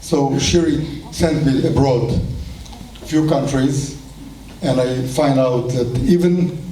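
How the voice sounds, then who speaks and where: A man with an Israeli accent and fairly even intonation, amid audible room echo and noticeable background noise. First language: Hebrew. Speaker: kibbutz movement leader. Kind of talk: speech at celebration.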